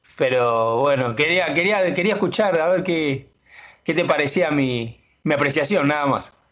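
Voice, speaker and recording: A fairly high-pitched man at a fairly slow pace, with ordinary pitch variation. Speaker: bank union delegate. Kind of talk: casual radio chat. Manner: halting.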